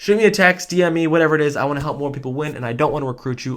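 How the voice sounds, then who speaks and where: A man with an energetic tone, ordinary pitch variation and a very fast pace. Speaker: insurance sales trainer. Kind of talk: sales training video outro.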